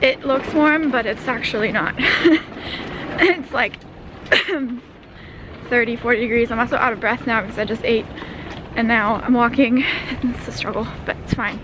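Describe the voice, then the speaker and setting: Amid noticeable background noise, a woman with a high pitch talks at a moderate pace, pausing long and often. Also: ordinary pitch variation. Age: 20s. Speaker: vlogger. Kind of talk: casual talk to camera.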